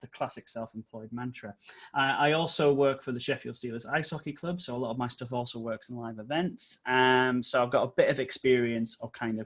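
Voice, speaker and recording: A man speaks at a fairly quick pace in a medium pitch. His intonation stays fairly even. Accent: American. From North East England. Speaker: trainer and consultant. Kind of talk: webinar presentation. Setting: online video session. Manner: casual, chatty.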